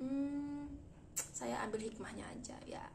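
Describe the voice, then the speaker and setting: A woman speaks with fairly even intonation amid audible room echo and noticeable background noise. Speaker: vlogger. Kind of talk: casual storytelling vlog. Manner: fast.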